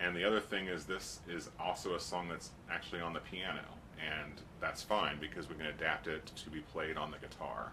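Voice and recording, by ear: A man's extremely low voice at a moderate pace, with little pitch movement and few pauses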